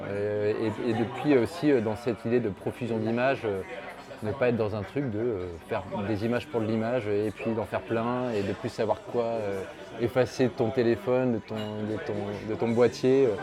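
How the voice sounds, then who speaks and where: With crowd noise in the background, a man speaks fairly slowly at a medium pitch. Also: fairly even intonation. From France, Lyon area. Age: 40s. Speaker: portrait photographer. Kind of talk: casual interview. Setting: bar.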